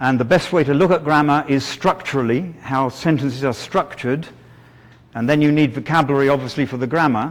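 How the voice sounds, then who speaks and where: Talking at a fairly quick pace, a man with a British accent keeps his fairly high pitch in fairly even intonation. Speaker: teacher trainer. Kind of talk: lecture. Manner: halting.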